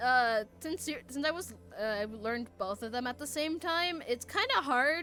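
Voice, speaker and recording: Music plays in the background as a woman talks at a high pitch with lively intonation. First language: Spanish. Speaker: gaming streamer. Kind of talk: casual chat while reading game text aloud. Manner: halting, frequent fillers.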